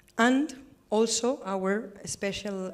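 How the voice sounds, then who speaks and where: Ordinary pitch variation with a Spanish accent. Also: woman. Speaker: government representative. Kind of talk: panel discussion. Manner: halting.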